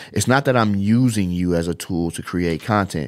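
On a very clean recording with a silent background, a man speaks at a moderate pace in a very deep, low voice with ordinary pitch variation. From Chicago, US Midwest. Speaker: social media content producer. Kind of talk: talk to camera, business advice. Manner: casual, filler-heavy.

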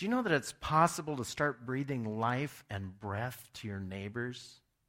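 Man's warm yet bright, sharp tone on a very clean recording with a silent background. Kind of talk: sermon; fervent prayer. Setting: church. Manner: earnest, pleading, heartfelt; conversational, warm.

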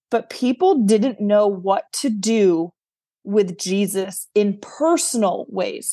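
A woman speaks with a dark, mellow tone. She has an American accent. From New York. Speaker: author and speaker. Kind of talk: interview. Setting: video call. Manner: loud.

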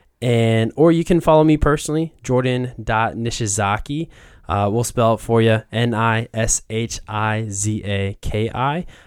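Speaking at a fairly slow pace with a Midwestern accent, a man uses a medium pitch and ordinary pitch variation. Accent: General American (Midwest). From Columbus, Ohio. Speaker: diversity, equity and inclusion advocate. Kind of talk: interview conversation. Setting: studio.

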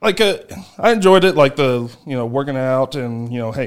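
A man with an American accent at a moderate pace, in a very clean recording with a silent background. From United States. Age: 20s. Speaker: professional strongman. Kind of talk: casual interview. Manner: halting, many fillers.

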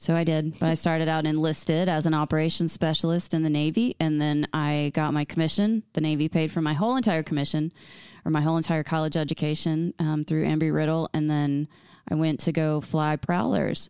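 A woman's very deep, low voice with a Texas accent, fairly even intonation, and very even loudness, in a very clean recording with a silent background and a dry, close sound with no echo. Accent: Texas twang. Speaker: retired military aviator, podcast host. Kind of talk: casual comedic chat, intro.

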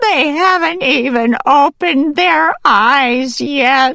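A woman uses a put-on character voice, high-pitched, strained and shaky, with vocal fry, a bright, sharp tone, ordinary pitch variation and a slow pace.

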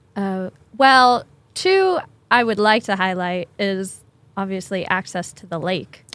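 An unremarkable speaking voice from a woman with an American accent, medium in pitch, with ordinary pitch variation and a fairly slow pace. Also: big swings in loudness. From US Northeast, Connecticut. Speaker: emergency preparedness coordinator. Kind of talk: casual interview. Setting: studio.

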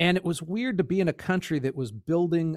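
A man talks at a moderate pace with ordinary pitch variation. The recording is very clean and dry, close with no echo, over a silent background. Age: 50s. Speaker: podcast host. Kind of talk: casual chat. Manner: halting.

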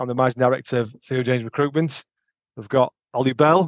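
Speaking very fast in a Yorkshire accent, a man with a medium pitch keeps his intonation fairly even, the sound dry and close with no echo. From Sheffield, northern England. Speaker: podcast host, recruitment company director. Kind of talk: casual chat.

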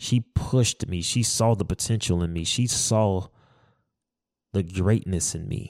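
A man with an unremarkable speaking voice talks fairly slowly at a fairly low pitch, with ordinary pitch variation. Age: 30s. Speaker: podcast host. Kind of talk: casual monologue.

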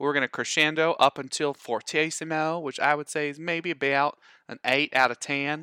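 In a very clean recording with a silent background, the sound is dry and close with no echo. A man with an American accent speaks at a moderate pace, his fairly high pitch carrying a bright, sharp tone. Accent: putting on a Southern US accent, inconsistent. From not the US South. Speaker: band teacher. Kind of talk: educational podcast lesson. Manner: chatty, halting, with repetitions.

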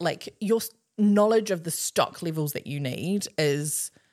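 The speaker is a woman with a fairly low pitch. Her pace is moderate. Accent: New Zealand. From New Zealand, Nelson region. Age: 30s. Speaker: podcast co-host. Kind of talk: casual chat. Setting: family beach house.

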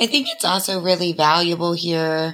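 A Southern US accent at a moderate pace, with fairly even intonation. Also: woman. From US South, Atlanta. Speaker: cult survivor. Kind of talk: casual chat.

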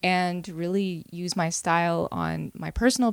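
Speaking at a fairly slow pace in an Ontario accent, a woman with a fairly low pitch is heard in a very clean recording with a silent background and a dry, close sound with no echo. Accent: Canadian (Ontario). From Caledon, Greater Toronto Area, Canada. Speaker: fashion brand founder and influencer. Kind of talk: casual interview chat.

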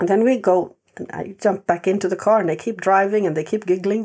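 Speaking at a fairly quick pace, a woman with a medium pitch and dark, mellow tone keeps her intonation fairly even. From Sweden. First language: Swedish. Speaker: animal communicator and sanctuary owner. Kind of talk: interview.

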